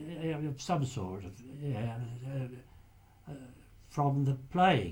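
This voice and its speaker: At a very slow pace and a medium pitch, a man speaks in a somewhat breathy voice with lively intonation and big swings in loudness. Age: 80s+. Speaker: retired lighthouse keeper, war veteran. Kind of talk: interview answer. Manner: hesitant.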